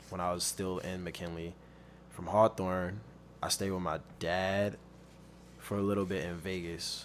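A man with a very deep voice and an American accent speaks in a flat monotone at a moderate pace. He leaves long, frequent pauses. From Compton and Long Beach, Southern California. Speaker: rapper and model. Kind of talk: casual chat.

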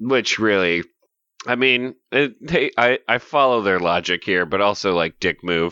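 This man has an American accent and a fairly low pitch, with a bright, sharp tone. He speaks at a fairly slow pace with lively intonation and very even loudness. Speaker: podcast co-host. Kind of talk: casual chat, comedic podcast banter. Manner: joking, playful.

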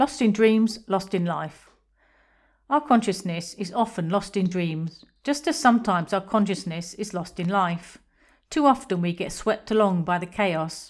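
Speaking with an English accent, a woman keeps a fairly slow pace. The recording is very clean, with a silent background. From England. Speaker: podcaster on astral projection. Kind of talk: scripted narration.

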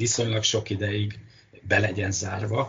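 Fairly low in pitch, a man talks at a moderate pace. Noticeable background noise is present. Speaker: marine biologist. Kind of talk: interview. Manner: halting.

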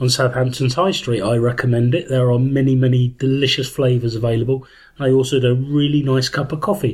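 Somewhat breathy, medium-pitched male speech with a British accent, at a moderate pace and with fairly even intonation. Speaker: podcast co-host. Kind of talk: casual chat. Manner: deadpan.

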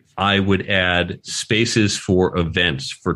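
Over a quiet background, a man with an American accent speaks in a very deep, low voice. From New York. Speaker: author and career educator. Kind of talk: interview. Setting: remote podcast recording.

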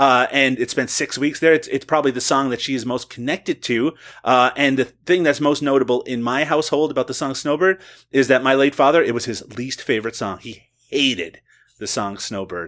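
A man's plain, everyday voice at a medium pitch, with ordinary pitch variation and a fairly quick pace, on a very clean recording with a silent background. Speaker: writer and podcaster. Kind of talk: casual chat.

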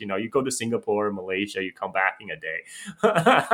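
A man's voice in a Chinese accent with very wide pitch swings. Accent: Chinese-accented American English. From China, then Chicago from eighth grade. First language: Mandarin Chinese. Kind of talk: casual conversation. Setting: remote call.

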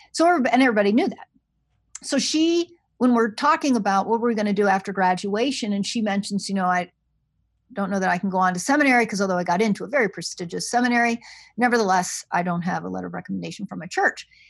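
A woman talks at a very fast pace in a medium pitch, sounding somewhat breathy. The recording is very clean, with a silent background. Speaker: seminary provost and New Testament scholar. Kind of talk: interview conversation.

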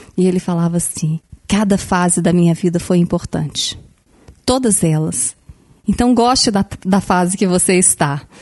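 A woman's dark, mellow voice at medium pitch, with very even loudness and long, frequent pauses. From Brazil, Belo Horizonte. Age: 40s. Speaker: educator. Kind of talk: casual chat.

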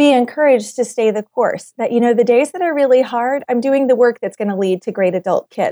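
The recording is very clean, with a silent background and a dry, close sound with no echo, carrying a dark, mellow tone with ordinary pitch variation. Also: woman. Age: 30s. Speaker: author and attorney. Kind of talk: casual chat.

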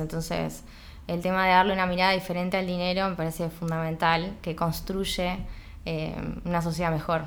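Heard with audible room echo, a woman of medium pitch speaks in a monotone, flat intonation. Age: 30s. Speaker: chemical engineer and entrepreneur. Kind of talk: casual interview chat. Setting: at her home. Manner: halting, many repetitions.

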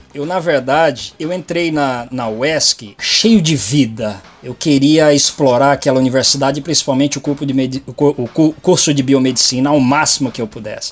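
A man's fairly high voice at a fairly slow pace, with ordinary pitch variation, hardly any pauses and noticeable background noise. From Brazil, São Paulo state. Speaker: biomedical scientist. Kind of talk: interview.

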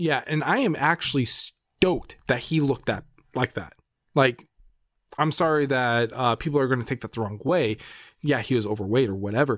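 At a moderate pace, this is a plain, everyday voice with ordinary pitch variation. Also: man, medium pitch for a man. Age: 30s. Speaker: film podcast co-host. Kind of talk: casual chat.

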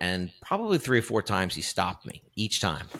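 Speaking in a New York accent, a man talks at a moderate pace with a fairly low pitch. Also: very clean recording, silent background. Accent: New York (Queens). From Woodside, Queens, New York City. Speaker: actor and comedian. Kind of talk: casual interview chat. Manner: animated storytelling with many fillers.

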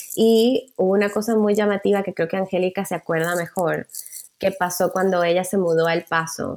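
In a very clean recording with a silent background, a woman with a plain, everyday voice speaks at medium pitch and a moderate pace, her intonation fairly even. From Venezuela, Caracas. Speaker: journalist. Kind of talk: casual interview chat.

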